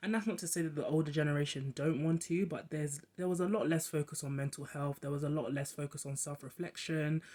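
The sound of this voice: The speech moves at a fairly quick pace with few pauses, fairly even intonation and a slightly mellow tone.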